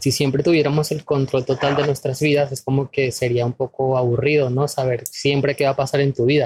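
A man speaks at a fairly quick pace in a somewhat breathy voice. His intonation is flat and monotone, and the sound is dry and close with no echo. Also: fairly high pitch for a man. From Venezuela. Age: 30s. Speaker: spiritual wellness guest. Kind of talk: casual interview.

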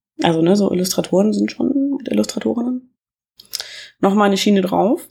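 Recorded very cleanly against a silent background, a woman speaks at a moderate pace and medium pitch. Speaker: podcast host reviewing books. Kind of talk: casual book review monologue. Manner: halting, many filler sounds.

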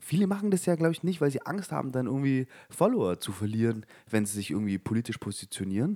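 A man with a medium-pitched voice talks at a very fast pace with very wide pitch swings, and the sound is dry and close with no echo. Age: 20s. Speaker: podcast co-host. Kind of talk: casual chat. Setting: studio.

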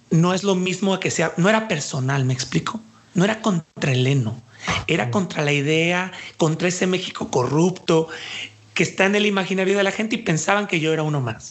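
Lively intonation shapes this man's high-pitched speech. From Mexico, Jalisco. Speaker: dance artist and cultural manager. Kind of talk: interview.

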